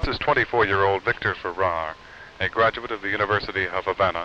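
Very fast talking runs on while noticeable background noise is heard. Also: man. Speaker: TV news reporter. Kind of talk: 1950s TV news report, formal broadcast delivery. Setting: TV news report, on location interviews. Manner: formal, measured, authoritative.

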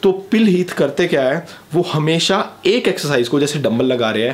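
At a moderate pace, a man delivers his words. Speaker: fitness vlogger. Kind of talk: tutorial. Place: home room.

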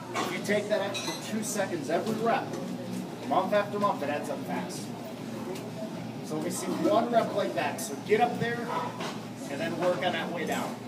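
Long, frequent pauses break up speech at a moderate pace over loud background noise. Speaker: strength coach. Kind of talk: coaching instruction. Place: gym. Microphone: camera far.

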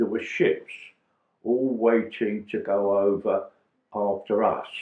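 A man talks at a very slow pace. There's audible room echo, though the background is quiet. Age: 80s+. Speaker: war veteran. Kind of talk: interview answer. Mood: moved, reminiscing. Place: home room.

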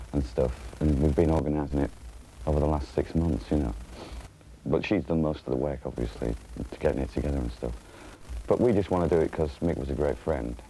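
Over light background noise, a man with a very deep, low pitch and a dark, mellow tone talks at a very fast pace with vocal fry and ordinary pitch variation. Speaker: interviewee. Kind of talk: interview answer. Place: hall.

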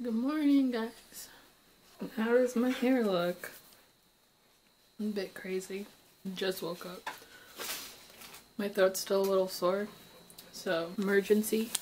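A hoarse woman speaks at a very slow pace with long, frequent pauses, over light background noise. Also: ordinary pitch variation. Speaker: vlogger. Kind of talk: casual vlog chat. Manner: groggy, just-woken, slightly hoarse voice. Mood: sleepy, just woke up. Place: kitchen. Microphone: phone near.

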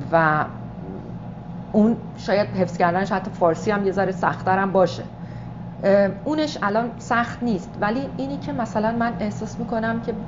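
Noticeable background noise surrounds a woman who talks at a moderate pace with ordinary pitch variation and long, frequent pauses. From Iran. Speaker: stage actress and director. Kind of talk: interview answer. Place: meeting room.

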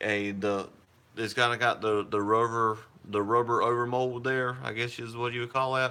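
A man speaks at a fairly slow pace in a bright, sharp tone. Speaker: prepping channel host. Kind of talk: casual live-stream chat. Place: home room. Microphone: phone near.

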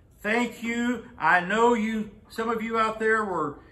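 The voice is raised and projected. It belongs to a man. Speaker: pastor. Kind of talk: sermon. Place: church. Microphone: camera far.

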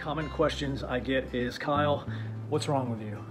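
With clear music in the background, a man talks at a fairly quick pace with ordinary pitch variation. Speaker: online reseller. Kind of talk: casual vlog chat. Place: home room. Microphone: phone near.

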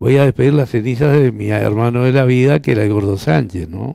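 In a dry recording with no echo and a quiet background, a man with a dark, mellow tone and medium pitch speaks at a fairly quick pace with ordinary pitch variation. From Uruguay. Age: 60s. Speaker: politician. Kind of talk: interview. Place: studio. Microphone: lapel.

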